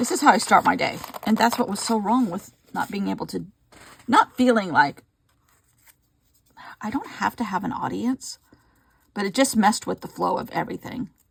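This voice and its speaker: A woman mumbles at a fairly high pitch, with big swings in loudness. Her speech has long, frequent pauses. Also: lively intonation. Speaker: mixed media crafter. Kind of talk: casual craft vlog. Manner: fast; mumbling.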